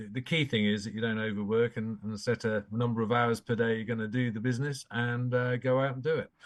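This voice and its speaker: A voice talking at a very fast pace over a quiet background. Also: man. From England. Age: 60s. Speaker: banking executive. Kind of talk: interview.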